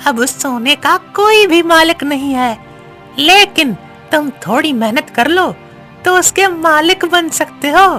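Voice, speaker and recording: A cartoonish character voice speaks at a fairly slow pace. Clear music plays in the background. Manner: calm, advisory.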